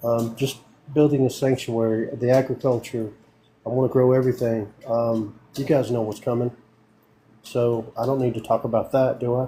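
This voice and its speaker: A man's somewhat breathy, dark, mellow tone in a Southern US accent, monotone and flat in intonation, at a moderate pace. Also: medium pitch for a man. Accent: country Southern. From US South, northeast Tennessee (Morristown). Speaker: army veteran planning a rural sanctuary. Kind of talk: casual chat.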